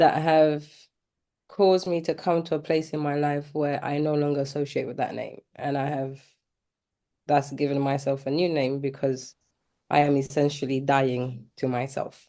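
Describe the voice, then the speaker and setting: A flat monotone in a dark, mellow tone with a London accent, at a moderate pace against a quiet background. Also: woman, very deep, low pitch for a woman. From East London, UK. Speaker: mentee, mother. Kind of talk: interview testimony.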